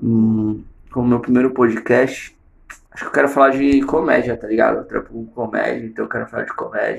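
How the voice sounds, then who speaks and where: A man's loudness swings widely while he keeps to a moderate pace. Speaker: comedian. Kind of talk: casual monologue. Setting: at home in the bathroom.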